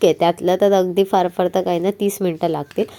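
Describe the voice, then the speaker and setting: Music plays in the background. Over it, a woman speaks at medium pitch. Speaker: home cook. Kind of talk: cooking tutorial narration. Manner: warm, friendly.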